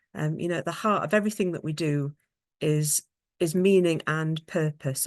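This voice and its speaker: A woman with a British accent, fairly low in pitch, at a moderate pace, with a dry, close sound, no echo, and a quiet background. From England. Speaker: occupational therapist and researcher. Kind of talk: conference presentation. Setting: online video conference. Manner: halting, many fillers.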